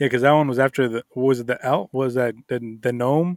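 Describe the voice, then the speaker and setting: An unremarkable speaking voice with an American accent moves at a fairly quick pace. Intonation stays fairly even, and the sound is dry and close with no echo. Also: man, very clean recording, silent background. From Miami, Florida. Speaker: podcast co-host. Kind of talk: casual chat.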